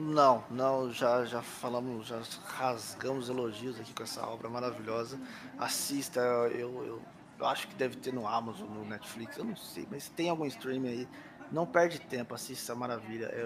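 With noticeable background noise behind him, a man speaks at a moderate pace and medium pitch, his intonation fairly even but his loudness swinging widely. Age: 30s. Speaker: podcast co-host. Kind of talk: casual chat.

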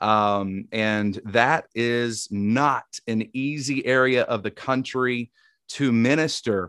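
A man talks at medium pitch with ordinary pitch variation and a Southern US accent, his tone both warm and bright and sharp. The sound is dry and close with no echo, on a very clean recording with a silent background. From Tennessee. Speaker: podcast host. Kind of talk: interview with prayer, faith conversation. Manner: warm, friendly, conversational.

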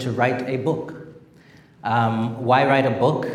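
With noticeable background noise and audible room echo, a man of medium pitch talks fairly slowly in a flat monotone. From Zimbabwe. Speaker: venture capital investor and author. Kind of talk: public talk at an event. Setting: stage with audience.

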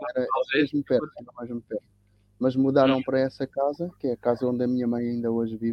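A man at medium pitch talks very fast in a monotone, flat intonation. He leaves long, frequent pauses. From Cape Verde (São Vicente), raised in Lisbon area, Portugal. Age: 60s. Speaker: tennis coach and teacher, anti-racism activist. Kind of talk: interview conversation. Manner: halting, with repetitions.

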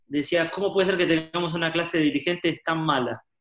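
In a Rioplatense accent, a man speaks with a high pitch. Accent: Rioplatense Spanish (porteño). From Argentina, Buenos Aires. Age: 30s. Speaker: pastor and author. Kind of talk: interview.

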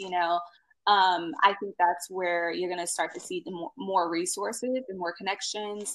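A woman talks in an ordinary speaking voice at a medium pitch and a moderate pace. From US, military family, moved around. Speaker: blogger and content strategist. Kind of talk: podcast interview.

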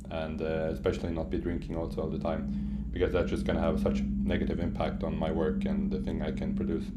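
Over noticeable background noise and audible room echo, the speaker talks very fast with ordinary pitch variation. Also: man, very deep, low pitch for a man. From Sweden (Stockholm). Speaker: software engineer, digital nomad. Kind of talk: casual interview.

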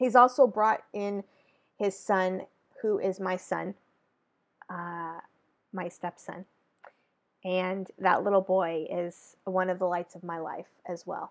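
A woman with an American accent speaks at a very slow pace and medium pitch. Her intonation is fairly even while her loudness swings widely. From Northern California. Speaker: podcast host, social media manager. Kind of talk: casual solo podcast monologue. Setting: home recording. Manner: chatty, with many fillers.

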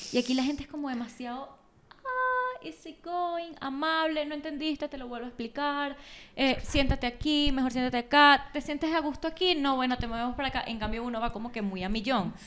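A woman talks at a fairly quick pace in a Venezuelan accent. Her pitch is high. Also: ordinary pitch variation. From Venezuela, Valencia (Carabobo). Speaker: graphic designer. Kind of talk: casual chat. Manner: animated.

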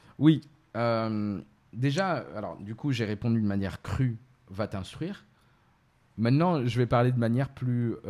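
A man's dark, mellow, medium-pitched voice at a fairly slow pace, with ordinary pitch variation and long, frequent pauses. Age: 30s. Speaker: entrepreneur and Islamic finance specialist. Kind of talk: explanatory interview. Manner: hesitant, many fillers.

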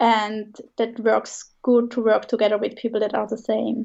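Spoken at a fairly slow pace in a Swiss German accent, the delivery is monotone with flat intonation. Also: woman. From Switzerland. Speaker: branding designer and coach. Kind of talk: casual interview.

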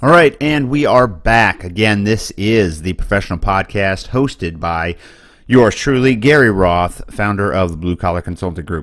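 In an ordinary speaking voice, a man talks at a moderate pace with a fairly low pitch and lively intonation. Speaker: podcast host and career consultant. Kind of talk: solo scripted-style advice monologue. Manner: casual, upbeat, joking.

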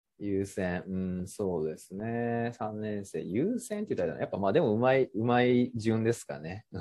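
With a dark, mellow tone, a man speaks at a moderate pace and medium pitch, with ordinary pitch variation and hardly any pauses. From Japan, Kagawa. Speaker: freelancer. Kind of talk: casual chat.

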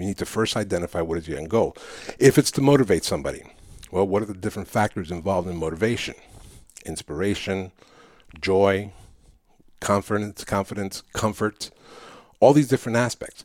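A man with a Spanish accent talks at a fairly quick pace and a fairly low pitch, with long, frequent pauses and big swings in loudness. The sound is dry and close with no echo, on a very clean recording with a silent background. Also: ordinary pitch variation. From New York City. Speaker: public speaking coach. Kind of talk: interview.

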